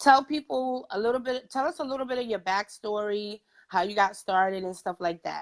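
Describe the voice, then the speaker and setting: A woman with a New York accent, animated in tone, lively in intonation and at a fairly quick pace. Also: fairly high pitch for a woman. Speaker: podcast host. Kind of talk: casual interview chat. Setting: livestream interview.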